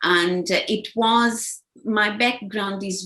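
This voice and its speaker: Vocal fry marks this woman's voice as she speaks at a very slow pace with lively intonation. The recording is very clean, with a silent background. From Angola (Luanda). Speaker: executive assistant. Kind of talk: interview. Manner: halting, many repetitions.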